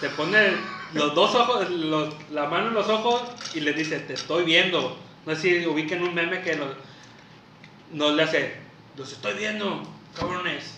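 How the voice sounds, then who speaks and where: Over noticeable background noise, a man with a high voice and ordinary pitch variation talks at a fairly slow pace, pausing often and at length. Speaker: podcast co-host. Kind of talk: casual chat.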